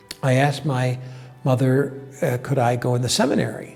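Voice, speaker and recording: Music plays behind a man with an American accent. His pitch sits in the medium range. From upstate New York, Binghamton. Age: 70s. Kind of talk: interview testimony. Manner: hesitant, many fillers.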